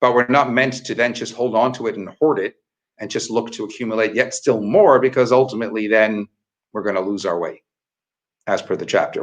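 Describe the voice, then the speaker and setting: This man speaks at a fairly quick pace with a medium pitch. He has a normal speaking voice. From Canada. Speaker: rabbi. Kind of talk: Torah teaching in a dialogue.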